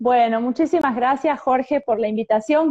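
A woman's dark, mellow voice with an Argentine accent and ordinary pitch variation, dry and close with no echo. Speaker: psychologist. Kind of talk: interview.

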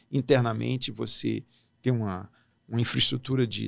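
Male speaker at a fairly slow speed, very clean recording, silent background. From Brasília, Brazil (born in Natal). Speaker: diplomat. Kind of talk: interview.

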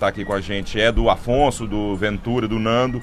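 A man talking at a moderate pace over background music. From Goiânia, Brazil. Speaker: comedian. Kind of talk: casual chat. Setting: studio.

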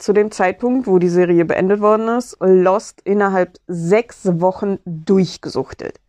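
At a very slow pace, a woman with a medium pitch and a dark, mellow tone speaks with ordinary pitch variation, the sound dry and close with no echo over a quiet background. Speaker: podcaster. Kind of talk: casual monologue. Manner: halting.

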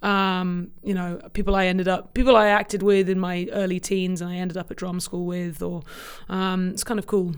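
With a southern English accent, a woman speaks at a fairly quick pace in a monotone, flat intonation. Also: medium pitch for a woman. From England, Cambridge. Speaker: film industry executive, former actor. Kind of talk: interview conversation. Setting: office podcast room.

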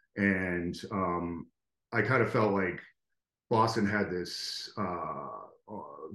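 A man with an American accent, a very deep, low pitch and fairly even intonation. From US Northeast, Connecticut. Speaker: graphic designer and educator. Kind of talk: casual interview.

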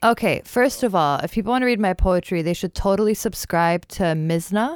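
With an American accent, a woman in an ordinary speaking voice talks at a moderate pace with ordinary pitch variation, recorded very cleanly against a silent background with a dry, close sound and no echo. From Dearborn, Michigan, US. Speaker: poet and teacher. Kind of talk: casual chat.

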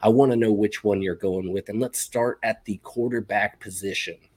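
In a very clean recording with a silent background, a man uses an unremarkable speaking voice, fairly low in pitch with fairly even intonation. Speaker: fantasy football podcast host.

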